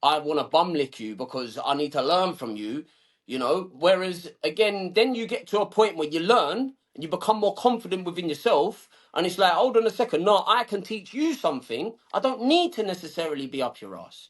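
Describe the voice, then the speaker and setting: In a South London accent, a man talks at a fairly quick pace with a high pitch, very wide pitch swings and big swings in loudness. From southeast London, England. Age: 30s. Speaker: suit business owner. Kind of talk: podcast interview. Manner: casual, colloquial.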